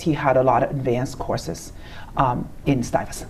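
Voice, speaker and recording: Over noticeable background noise and audible room echo, a woman with a Chinese accent speaks at a moderate pace. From China. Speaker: high school principal. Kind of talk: interview. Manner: halting.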